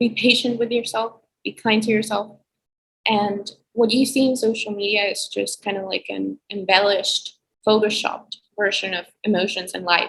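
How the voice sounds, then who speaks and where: A woman with a fairly high pitch, fairly even intonation, a moderate pace and an ordinary speaking voice. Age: young. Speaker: college student. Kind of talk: casual chat.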